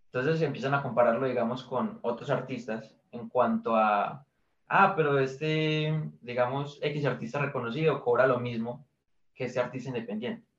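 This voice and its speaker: At a medium pace, a man talks with a slightly breathy voice and normal pitch movement. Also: medium pitch for a man. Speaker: indie musician. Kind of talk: interview.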